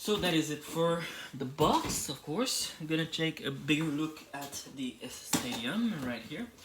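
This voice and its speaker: Over noticeable background noise, a man talks with fairly high pitch and lively intonation. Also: fairly slow pace. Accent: French. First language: French. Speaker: toy reviewer YouTuber. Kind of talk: product review. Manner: hesitant, with fillers.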